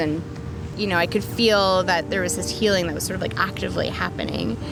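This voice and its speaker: Over music in the background and audible room echo, a woman with a Canadian accent speaks at a very fast pace. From Canada, Saskatchewan and northern Ontario. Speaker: ministry student. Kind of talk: interview; testimony.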